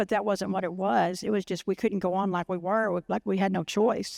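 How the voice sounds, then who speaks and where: In a Texan accent, a woman talks at a moderate pace with fairly even intonation. The sound is dry and close with no echo, on a very clean recording with a silent background. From Waco, Texas. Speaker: liver cancer patient advocate. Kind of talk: personal story talk.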